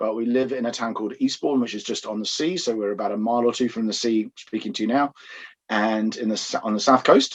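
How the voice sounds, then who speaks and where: A man at medium pitch with an English accent, talking at a very fast pace. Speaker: pastor. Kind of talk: podcast interview.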